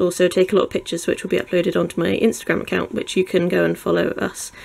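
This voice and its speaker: A woman's medium-pitched voice with a British accent. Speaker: YouTuber reviewing products. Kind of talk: unboxing tutorial. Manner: casual, with filler ums.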